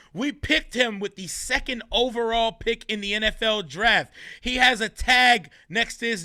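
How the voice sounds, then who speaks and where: A man's raised, projected voice at a high pitch and moderate pace, with ordinary pitch variation, in a very clean recording with a silent background. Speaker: podcast co-host. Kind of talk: casual sports podcast discussion. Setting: podcast recording. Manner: loud; animated.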